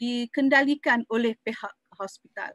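A woman speaks at a fairly high pitch and a fairly slow pace with fairly even intonation. The sound is dry with no echo over a quiet background. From Malaysia. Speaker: university lecturer. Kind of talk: lecture. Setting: video call. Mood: calm, earnest, religious tone. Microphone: video call.

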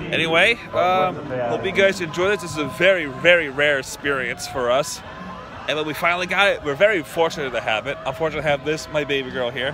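Noticeable background noise sits under a dry sound with no echo. A man talks at a very fast pace with ordinary pitch variation. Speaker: vlogger. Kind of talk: casual vlog chat. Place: stadium. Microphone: phone near.

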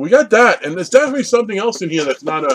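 A man's pitch swings very widely. Light background noise sits behind him. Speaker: collector vlogger. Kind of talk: casual vlog chat. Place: home room. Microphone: webcam.

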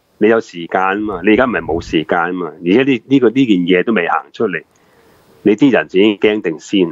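Talking at a very fast pace in a Hong Kong accent, a man uses a fairly low pitch with ordinary pitch variation. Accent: Hong Kong Cantonese. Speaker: former police officer, retired banker. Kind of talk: live talk show interview.

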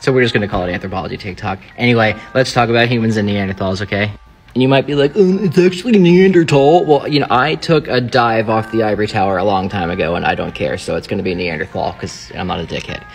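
With faint music in the background, the voice races at a very fast pace through very wide pitch swings. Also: man, medium pitch for a man. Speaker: anthropology content creator. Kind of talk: casual science explainer. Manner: animated. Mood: joking, irreverent. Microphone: phone near.

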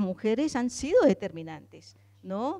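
Against a quiet background, a woman speaks at a fairly slow pace with a dark, mellow tone. Her pitch is fairly high and swings very widely. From Colombia. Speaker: feminist theologian and party activist; speaker. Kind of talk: panel discussion. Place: hall. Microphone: handheld.

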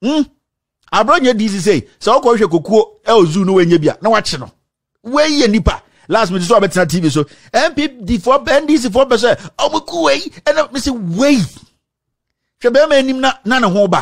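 An animated man talks at a moderate pace with an extremely high pitch. His pitch swings very widely over a quiet background. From Ghana. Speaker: political commentator. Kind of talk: political commentary rant. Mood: indignant, confrontational. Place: studio. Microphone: studio mic.

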